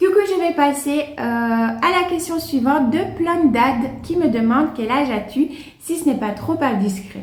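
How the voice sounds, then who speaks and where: High-pitched and lively in intonation, a woman speaks at a fairly slow pace amid noticeable background noise and audible room echo. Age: 30s. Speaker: plant YouTuber. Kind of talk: casual Q&A vlog. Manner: hesitant, many fillers; chatty.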